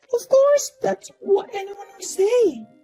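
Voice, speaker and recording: A woman performs a put-on character voice. Faint music plays in the background. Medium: fan dub.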